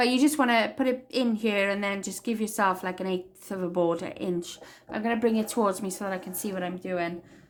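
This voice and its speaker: A woman with a Welsh accent talks at a fairly quick pace with hardly any pauses, at a medium pitch with ordinary pitch variation. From Wales. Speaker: crafting tutorial maker. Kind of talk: tutorial.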